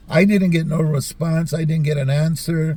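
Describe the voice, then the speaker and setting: Dark and mellow yet somewhat breathy, a man's fairly high voice unfolds at a fairly slow pace. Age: 60s. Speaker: YouTube commentator. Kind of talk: casual commentary monologue. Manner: halting, many fillers and repeats.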